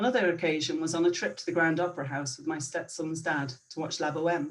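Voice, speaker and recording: Fairly low in pitch, a woman speaks with a Northern Irish accent. Her pace is fairly quick. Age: 50s. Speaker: storyteller. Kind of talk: personal storytelling.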